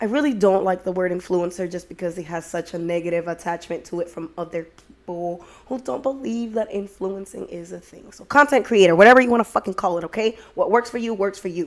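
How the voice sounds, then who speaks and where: A woman speaks fairly quickly at medium pitch with an animated tone. She hardly pauses at all. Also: ordinary pitch variation, big swings in loudness. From North Carolina, US (born in Acapulco, Mexico). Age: 20s. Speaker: content creator and podcast host. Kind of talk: casual monologue podcast.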